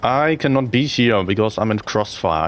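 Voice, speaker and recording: A man with a strong German accent, lively intonation and a moderate pace. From Germany. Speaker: game streamer and tournament caster. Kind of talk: live-stream gameplay commentary. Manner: animated.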